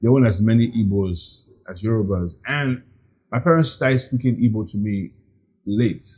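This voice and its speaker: Speaking at a moderate pace, a man uses a medium pitch with ordinary pitch variation and a somewhat breathy quality. The recording is very clean, with a silent background. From Nigeria (Lagos). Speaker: real estate agent. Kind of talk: interview. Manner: casual.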